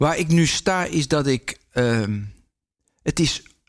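Lively intonation marks this man's voice. He talks at a very slow pace. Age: 50s. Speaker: former pro speed skater and radio maker. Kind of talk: casual interview.

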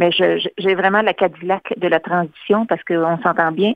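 A woman speaks in a plain, everyday voice with fairly even intonation. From Quebec, Louiseville area. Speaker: chamber of commerce director, artist agent. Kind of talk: radio interview.

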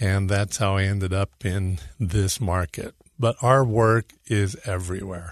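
A man with an American accent talks at a fairly slow pace, in a normal speaking voice of fairly low pitch and ordinary variation. The sound is dry and close with no echo, over a quiet background. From California. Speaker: lighting designer. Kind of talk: radio interview.

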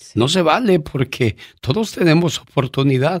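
A man with a Mexican accent speaks at a fairly slow pace with lively intonation. The recording is very clean with a silent background and a dry, close sound with no echo. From Mexico. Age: 50s. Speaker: podcast host. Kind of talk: personal storytelling.

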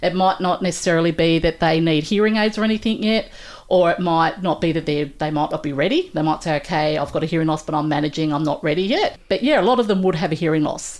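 Speaking very fast with hardly any pauses, a woman with an Australian accent keeps a fairly low pitch, very even loudness and ordinary pitch variation. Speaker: audiologist. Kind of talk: casual interview chat.

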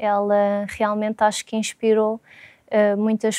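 The sound is dry and close, with no echo. A woman speaks with a fairly high pitch and a dark, mellow tone. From Portugal, Lisbon. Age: 30s. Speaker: consultant. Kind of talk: testimony. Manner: hesitant, many fillers.

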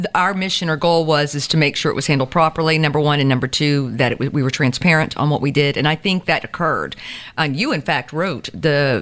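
A woman with an American accent, very deep, low pitch, a fairly quick pace and very even loudness. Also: ordinary pitch variation. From US South, Savannah, Georgia. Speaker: district attorney. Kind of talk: interview. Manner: fast.

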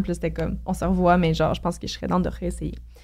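A very clean recording of a woman talking against a silent background. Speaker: podcast co-host guest. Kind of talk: casual chat.

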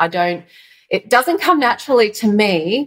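A woman with an Australian accent. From Australia, Yarra Valley east of Melbourne. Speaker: stylist and colour consultant. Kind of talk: interview.

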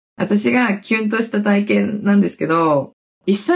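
This woman has a medium pitch and an animated tone. Her pace is moderate. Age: 30s. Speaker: podcast host and TikTok creator. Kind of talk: casual solo talk. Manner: animated, frequent laughter.

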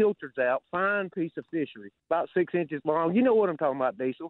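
Lively intonation at a fairly quick pace. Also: man. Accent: Southern US. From Alabama Gulf Coast. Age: 60s. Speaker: caller. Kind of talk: call-in storytelling. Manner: animated.

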